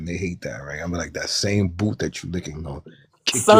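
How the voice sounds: With a New York accent, a man speaks at a fairly quick pace in a very deep, low pitch. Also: ordinary pitch variation.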